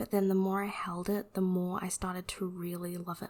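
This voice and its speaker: The soft-spoken voice moves at a moderate pace with a relaxed tone. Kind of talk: ASMR unboxing, casual talk to camera. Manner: soft-spoken, relaxed.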